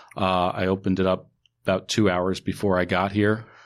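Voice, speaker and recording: Against a quiet background, a man with an American accent speaks in a very deep, low pitch and a monotone, flat intonation. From New York, Westchester County. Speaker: wine retailer. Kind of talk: casual chat. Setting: studio.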